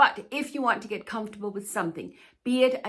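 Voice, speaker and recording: A woman speaks with ordinary pitch variation. Her tone is bright and sharp. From Denmark. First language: Danish. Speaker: plus-size fashion YouTuber and stylist. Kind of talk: casual Q&A talk to camera.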